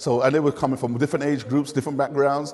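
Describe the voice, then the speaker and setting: Against noticeable background noise, a man with a London accent talks at a medium pitch. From London (Hackney). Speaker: community learning volunteer. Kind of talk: interview.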